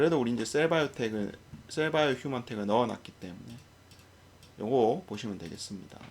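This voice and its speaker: The speaker moves at a fairly quick pace with lively intonation and big swings in loudness, broken by long, frequent pauses. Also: man, medium pitch for a man. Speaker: stock market commentator. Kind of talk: unscripted market commentary. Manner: stumbling over words; hesitant, many fillers.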